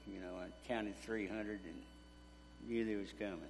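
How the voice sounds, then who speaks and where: A man in an East Texas accent, fairly low-pitched and fairly slow, with ordinary pitch variation and audible room echo. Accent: East Texas Southern. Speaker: war veteran. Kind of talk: testimony. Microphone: too quiet.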